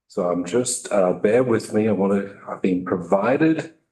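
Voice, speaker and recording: The voice belongs to a man with an Australian accent. His pitch is fairly low. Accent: Australian, still noticeable. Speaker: state health IT program director. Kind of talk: testimony to legislative committee. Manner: hesitant, many fillers.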